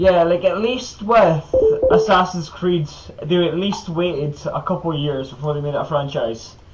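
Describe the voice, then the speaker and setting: A man speaks in a high pitch with ordinary pitch variation. Noticeable background noise runs under his voice. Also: moderate pace. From Scotland. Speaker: podcast host. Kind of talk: casual chat.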